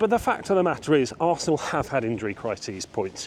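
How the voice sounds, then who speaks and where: Speaking very fast, a man with an English accent uses a fairly high pitch. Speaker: football vlogger. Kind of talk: walking vlog match preview. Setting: outdoors walking around a stadium. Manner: casual, conversational.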